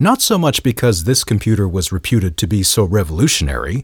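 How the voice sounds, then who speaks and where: A man with vocal fry at a moderate pace, on a very clean recording with a silent background. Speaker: podcast host. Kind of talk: scripted narration.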